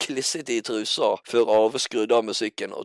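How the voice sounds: The clip presents a natural reading voice.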